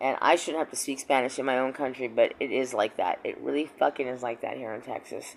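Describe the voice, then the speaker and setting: The speaker talks at a very fast pace with an American accent and vocal fry. The pitch varies in an ordinary way. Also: woman. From Missouri. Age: 50s. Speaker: vlogger. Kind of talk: personal vlog monologue.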